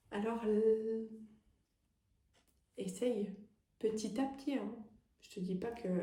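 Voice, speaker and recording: A soft-spoken woman's somewhat breathy voice, dark and mellow in tone, with fairly even intonation and audible room echo. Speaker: medium and energy healer. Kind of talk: tarot guidance reading. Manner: hesitant, many fillers.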